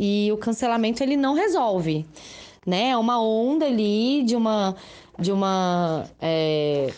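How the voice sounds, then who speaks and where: A woman at a fairly high pitch with very wide pitch swings, very even loudness and a very slow pace, against a quiet background. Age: 30s. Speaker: journalist and party official. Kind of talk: recorded statement.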